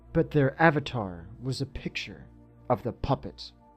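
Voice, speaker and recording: A man speaks at a fairly slow pace with music playing behind him. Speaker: narrator of horror stories. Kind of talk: horror story narration (creepypasta reading).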